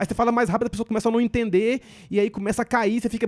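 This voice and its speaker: A man speaks very fast in a high, flat monotone, the sound dry and close with no echo. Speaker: stand-up comedian. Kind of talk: podcast interview. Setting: podcast.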